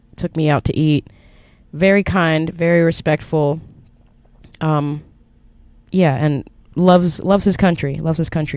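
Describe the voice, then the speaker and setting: A woman with an American accent has a very deep, low pitch and a dark, mellow tone. Her pace is moderate and her intonation fairly even. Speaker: podcast host. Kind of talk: solo podcast monologue. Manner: casual, halting with fillers.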